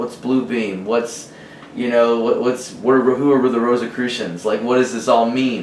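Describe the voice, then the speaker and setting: With an American accent, a man speaks at a medium pitch and a fairly slow pace, amid audible room echo and noticeable background noise. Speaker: musician. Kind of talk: casual interview. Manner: halting, stuttering.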